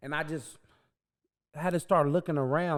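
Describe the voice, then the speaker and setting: A man talks very fast on a very clean recording with a silent background. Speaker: podcast co-host. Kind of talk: casual chat. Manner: loud.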